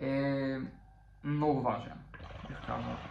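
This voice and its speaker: Audible room echo surrounds a man's speech, joined by noticeable background noise. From Bulgaria, Popovo (Targovishte). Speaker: podcast co-host. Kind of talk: casual chat.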